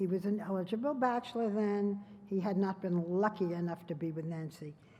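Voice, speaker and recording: A woman with an American accent, a plain, everyday voice, ordinary pitch variation and a moderate pace. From United States. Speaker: journalist, TV interviewer. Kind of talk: award presentation speech at a gala dinner.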